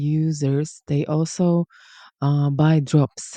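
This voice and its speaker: A very slow delivery with a non-native accent, over a quiet background. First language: not English. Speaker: language coach. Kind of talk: educational talk. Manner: relaxed, casual.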